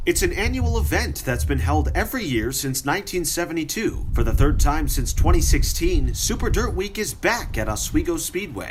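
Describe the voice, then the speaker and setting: Music plays in the background as a man talks. His pace is moderate, with hardly any pauses. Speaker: news reporter. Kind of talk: TV news report.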